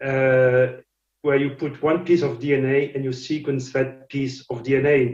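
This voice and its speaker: A man's somewhat breathy, fairly high-pitched voice with a French accent, with audible room echo. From France. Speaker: scientist and company founder. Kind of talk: lecture. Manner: halting, many fillers and repetitions.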